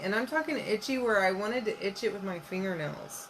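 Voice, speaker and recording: At a moderate pace, a woman with a fairly high pitch speaks in a Southern US accent amid noticeable background noise. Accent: US South. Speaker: crafts and home decor creator. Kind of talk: craft tutorial. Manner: casual, chatty.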